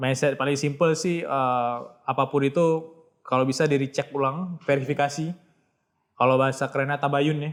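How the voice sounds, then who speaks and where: With an Acehnese accent, a man speaks at a moderate pace in a fairly high pitch. His intonation is monotone and flat, and the recording is very clean with a silent background. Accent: Acehnese accent, proud of it. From Aceh, Indonesia (Banda Aceh). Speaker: author. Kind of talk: podcast interview. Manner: casual, conversational.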